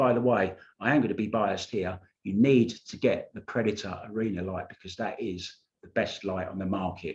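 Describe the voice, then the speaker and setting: Somewhat breathy, a man with a British accent speaks at a fairly quick pace with big swings in loudness. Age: 60s. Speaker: pool vlogger. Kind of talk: casual vlog commentary. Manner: informal, rambling asides.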